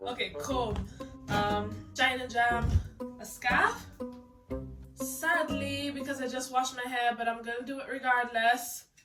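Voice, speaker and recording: Music plays in the background as a high-pitched woman talks at a fairly slow pace with ordinary pitch variation. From Caribbean. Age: young. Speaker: hair vlogger. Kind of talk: casual talk to camera.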